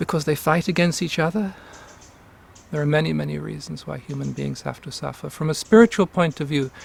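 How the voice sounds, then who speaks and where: A man's somewhat breathy voice, fairly high in pitch, with fairly even intonation and a fairly quick pace. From England. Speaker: Sufi teacher. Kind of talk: interview.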